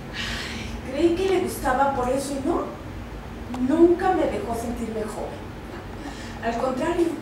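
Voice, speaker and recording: A woman speaks very slowly in a high voice with ordinary pitch variation. Noticeable background noise and audible room echo fill the recording. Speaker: actor in a play. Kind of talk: theatrical dialogue. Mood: rueful, complaining. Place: stage. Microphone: camera far.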